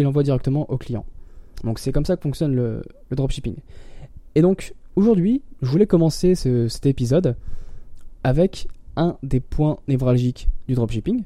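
Long, frequent pauses break up a man's fairly high, dark and mellow voice, which moves at a moderate pace with lively intonation. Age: 20s. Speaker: podcast host and online entrepreneur. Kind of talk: casual solo tutorial. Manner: hesitant with many fillers.

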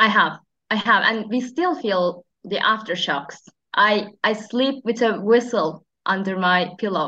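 A woman with a Turkish accent speaks at a fairly slow pace with a bright, sharp tone, a fairly high pitch and lively intonation. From Turkey. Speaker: pharmacist. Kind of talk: interview. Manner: halting.

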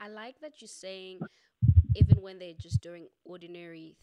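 This is a woman's voice. Its tone is dark and mellow. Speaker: podcast host. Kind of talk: casual interview conversation. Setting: virtual recording, video call.

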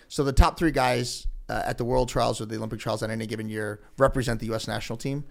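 This man speaks very fast with an American accent. His intonation stays fairly even. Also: medium pitch for a man. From Ohio, Elyria. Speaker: investment company founder. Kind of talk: interview.

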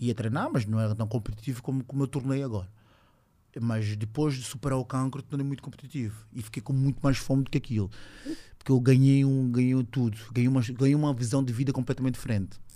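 Talking at a very fast pace, a man with a medium-pitched, dark, mellow voice keeps his intonation fairly even. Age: 20s. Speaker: judo athlete. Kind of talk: casual chat.

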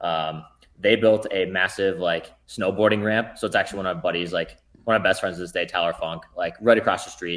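A man with an unremarkable speaking voice, fairly low pitch and ordinary pitch variation. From central Minnesota, small town. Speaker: elite ultramarathon runner. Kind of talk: casual interview.

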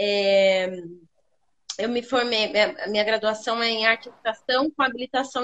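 A woman at a moderate pace. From Sorocaba, interior of São Paulo state, Brazil. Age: 30s. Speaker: actress and academic researcher. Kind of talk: interview on a live stream.

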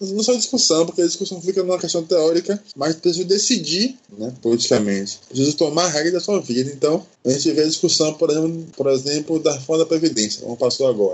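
A man at a fairly high pitch, very fast pace and lively intonation, with hardly any pauses and noticeable background noise. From Brazil, Salvador (Bahia). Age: 30s. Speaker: history graduate and activist. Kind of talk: podcast discussion.

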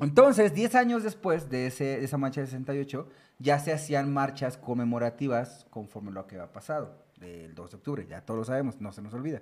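Using a plain, everyday voice, a man with a medium pitch talks at a fairly quick pace with lively intonation. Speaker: podcast host. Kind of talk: casual chat.

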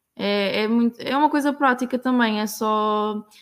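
This woman has a fairly high pitch, fairly even intonation, and an ordinary speaking voice. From Portugal, Aveiro district. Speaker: working student. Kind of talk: casual chat.

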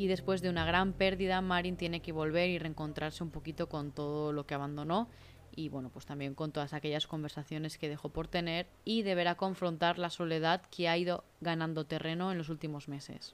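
A woman speaks at a fairly quick pace in a fairly low voice, with fairly even intonation and hardly any pauses. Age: 30s. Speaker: book podcaster. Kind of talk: solo book review monologue. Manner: talkative, continuous.

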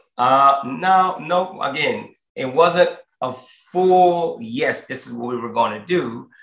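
Room echo is audible around a man's high voice. He talks very slowly with lively intonation. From Lafayette, Louisiana. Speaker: wedding venue owner. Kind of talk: interview. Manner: halting, with fillers.

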